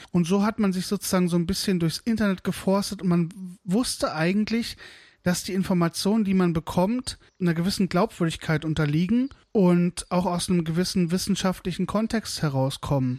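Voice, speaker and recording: A man at a high pitch with ordinary pitch variation and a fairly quick pace, dry and close with no echo, on a very clean recording with a silent background. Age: 30s. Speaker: podcaster, smallholder. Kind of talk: solo podcast monologue. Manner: casual, chatty.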